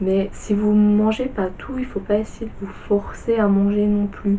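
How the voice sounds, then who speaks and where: A woman's fairly slow, monotone, flat speech against noticeable background noise. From Belgium. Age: 20s. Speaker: vlogger sharing bariatric surgery experience. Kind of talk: casual talk to camera.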